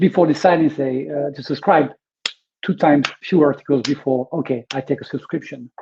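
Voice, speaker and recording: Speaking with a strong French accent, a man uses a fairly high pitch and ordinary pitch variation at a moderate pace. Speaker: webinar host, media business consultant. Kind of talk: webinar presentation. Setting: online webinar. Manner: hesitant, many fillers.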